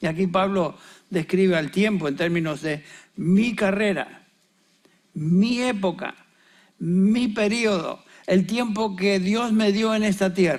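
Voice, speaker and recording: At a very slow pace with long, frequent pauses, a man speaks in a high pitch with ordinary pitch variation. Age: 70s. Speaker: pastor. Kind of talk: sermon.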